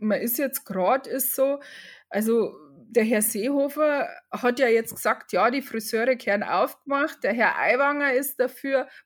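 A woman speaks with a Bavarian accent. Her pace is very slow and her pitch varies in an ordinary way. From Upper Bavaria, Germany. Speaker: hairdresser and salon owner. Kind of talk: interview. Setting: video call.

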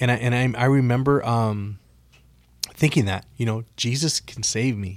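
A plain, everyday voice with an American accent speaks at a moderate pace with fairly even intonation. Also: man, medium pitch for a man. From US West Coast, Oxnard, California. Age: 40s. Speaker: former addict sharing testimony. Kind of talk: testimony. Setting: radio studio.

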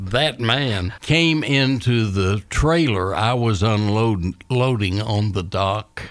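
A man with a Southern US accent speaks at a very slow pace, with hardly any pauses. His pitch is fairly low, with ordinary variation and very even loudness. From Scottsville, Kentucky. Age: 80s+. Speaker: retired business executive. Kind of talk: radio interview.

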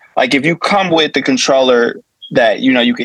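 An unremarkable speaking voice belongs to this man. He moves at a fairly quick pace with lively intonation. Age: 30s. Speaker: DJ. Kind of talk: casual interview chat.

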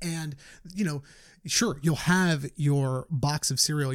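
A man's somewhat breathy voice of fairly high pitch, with ordinary pitch variation. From New York, the Bronx. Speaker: fitness entrepreneur. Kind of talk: casual interview chat.

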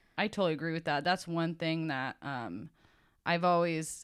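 A woman in a plain, everyday voice, fairly low in pitch, speaks at a moderate pace with fairly even intonation on a very clean recording with a silent background. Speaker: elementary teacher. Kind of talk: casual chat, interview over wine.

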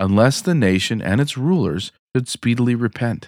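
A man speaks at a moderate pace in an unremarkable speaking voice, medium in pitch, with lively intonation. The recording is very clean with a silent background and a dry, close sound with no echo. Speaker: podcast host and reader. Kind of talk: audiobook-style reading aloud of a chapter, after casual interview chat. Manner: measured, formal, steady narration pace.

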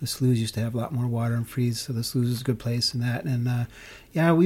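Very fast speech in an American accent comes through with a dark, mellow, somewhat breathy tone on a very clean recording with a silent background. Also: man. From US Midwest, Chicago. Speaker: hockey player and ice skater. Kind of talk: casual chat. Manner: halting, many fillers.

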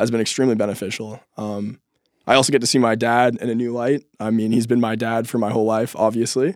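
A man with an American accent speaks at a fairly quick pace in a monotone, flat intonation, on a very clean recording with a silent background. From US Pacific Northwest (Seattle). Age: 20s. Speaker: developer's son, project assistant. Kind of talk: interview.

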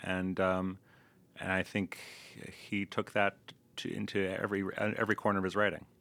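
In a very clean recording with a silent background, a man with an American accent speaks at a very deep, low pitch in a bright, sharp tone, using monotone, flat intonation at a moderate pace with long, frequent pauses. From US, Louisville, Kentucky. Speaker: translator. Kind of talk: interview.

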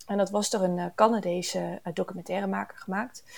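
The woman speaks at a moderate pace in a dark, mellow tone. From Canada, near Toronto. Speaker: ecological engineer. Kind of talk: interview. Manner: hesitant with many fillers.

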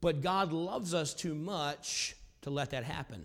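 His voice sits fairly high in pitch for a man. The recording is very clean, with a silent background. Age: 40s. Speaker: pastor. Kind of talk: sermon. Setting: church. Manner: loud, animated.

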